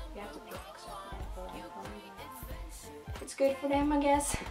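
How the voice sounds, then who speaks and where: Clear music plays in the background while a woman speaks at a moderate pace. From Sweden. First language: Swedish. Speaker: exchange student. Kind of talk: casual talk to camera. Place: home room. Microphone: camera far.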